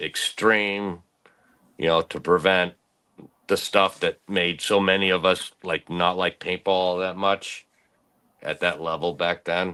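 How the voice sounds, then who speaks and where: A very deep, low-pitched man's voice with a bright, sharp tone speaks at a very slow pace, with long, frequent pauses. The recording is very clean, the background silent, and the sound dry and close with no echo. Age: 60s. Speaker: former pro paintball player and writer. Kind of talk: casual interview chat. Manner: animated.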